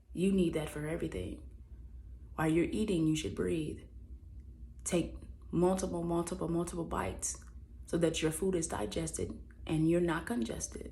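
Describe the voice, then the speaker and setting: There is audible room echo as a woman talks at a moderate pace. She leaves long, frequent pauses. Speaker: vlogger. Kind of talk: personal reflection monologue.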